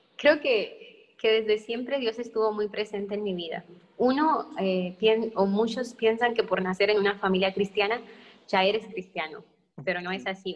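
At a moderate pace, a woman with an ordinary speaking voice talks at medium pitch with fairly even intonation. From northern Mexico, Sonora. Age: 20s. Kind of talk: testimony.

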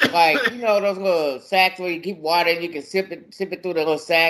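Fairly high for a man, this bright, sharp voice moves at a fairly quick pace. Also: ordinary pitch variation.

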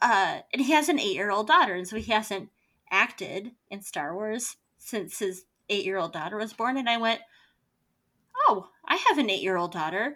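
Here a woman has a medium pitch and lively intonation, speaking at a moderate pace. It is an unremarkable speaking voice. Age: 30s. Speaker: podcast host. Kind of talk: casual chat.

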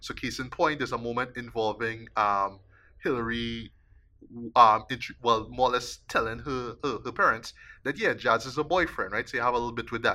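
The tone is bright and sharp, with fairly even intonation at a fairly quick pace. The recording is very clean, with a silent background. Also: man, medium pitch for a man. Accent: Trinidadian. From Trinidad. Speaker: podcast host, film critic. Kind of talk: casual chat.

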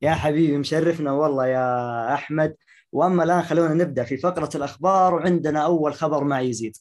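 A man speaks in a normal speaking voice at a moderate pace, pitched fairly high. His intonation stays fairly even and he hardly pauses. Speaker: podcast host. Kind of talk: casual chat. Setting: video call.

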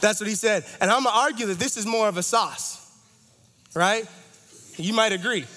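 Amid noticeable background noise and audible room echo, a man speaks in an animated tone at a moderate pace with ordinary pitch variation. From Toronto, Canada. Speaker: campus ministry associate director. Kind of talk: sermon.

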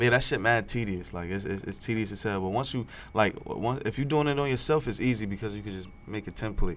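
A man at a very fast pace with hardly any pauses. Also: fairly low pitch for a man, ordinary pitch variation. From Newark, New Jersey. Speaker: rapper and singer. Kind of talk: casual interview.

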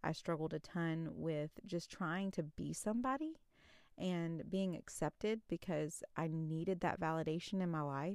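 A woman with an ordinary speaking voice talks at a fairly slow pace in a fairly low pitch, with ordinary pitch variation and very even loudness, on a very clean recording with a silent background. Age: 30s. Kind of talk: faith-based solo podcast talk. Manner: casual, chatty with fillers.

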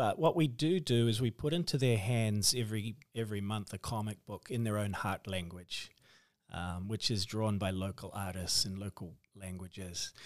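In a very clean recording with a silent background, a man with a New Zealand accent speaks at a moderate pace, his fairly low pitch showing ordinary variation. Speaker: author and missionary. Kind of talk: interview.

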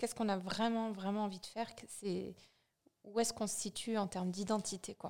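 A woman's medium-pitched voice, flat and monotone, at a fairly quick pace. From France, Vosges. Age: 30s. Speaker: brand co-founder. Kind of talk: casual interview.

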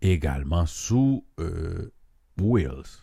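The voice has a dark, mellow tone and sounds somewhat breathy. Its pitch varies in an ordinary way at a very slow pace. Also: man. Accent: Haitian. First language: Haitian Creole (speaking French). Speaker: podcast host. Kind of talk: monologue commentary. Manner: hesitant, many fillers.

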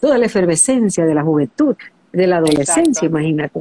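The woman's fairly low voice has a dark, mellow tone, captured with a dry, close sound and no echo. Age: 60s. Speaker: former TV presenter. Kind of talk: interview.

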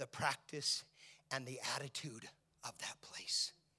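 Bright and sharp in tone, a man speaks at a fairly slow pace with fairly even intonation. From Italian-American home. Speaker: pastor. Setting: church sanctuary with live congregation. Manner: earnest, preacherly cadence with building repetition (whether it be with...).

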